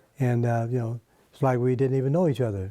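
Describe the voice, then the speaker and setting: A man with a medium pitch speaks in a dark, mellow tone. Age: 90s. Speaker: interviewee, civil rights pioneer. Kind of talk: interview. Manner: halting.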